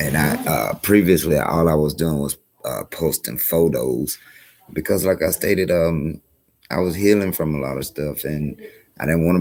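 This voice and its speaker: With a South Carolina accent, a man with a very deep, low voice speaks at a moderate pace, his pitch varying in an ordinary way. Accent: US Southern (South Carolina). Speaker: community organizer streamer. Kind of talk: live stream talk. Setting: library. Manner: halting.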